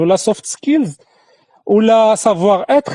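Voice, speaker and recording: Lively in intonation, a man with a Moroccan accent speaks in a dark, mellow tone, captured dry and close with no echo. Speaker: career coach and trainer. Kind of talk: instructional talk to camera. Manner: casual, code-switching with French.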